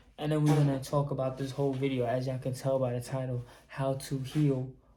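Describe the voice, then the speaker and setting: Audible room echo surrounds a man speaking at a medium pitch and moderate pace in a monotone, flat intonation. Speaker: YouTuber, holistic healing talk. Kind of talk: casual vlog monologue. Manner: casual, filler-heavy.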